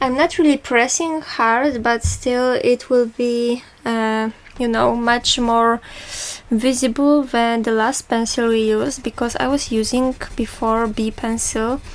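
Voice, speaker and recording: A woman speaks in a Polish accent at a fairly slow pace. Her high-pitched voice carries a monotone, flat intonation. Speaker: art tutor. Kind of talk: tutorial. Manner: halting.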